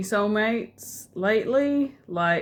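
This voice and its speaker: A woman with a New Zealand accent is heard on a very clean recording with a silent background. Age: 30s. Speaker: vlogger. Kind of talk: casual vlog monologue. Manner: quiet; hesitant, many fillers.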